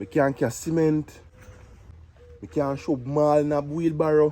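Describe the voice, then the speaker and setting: A man with a Jamaican accent, fairly high in pitch, at a very slow pace. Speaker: job applicant in comedy skit. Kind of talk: comedy skit dialogue.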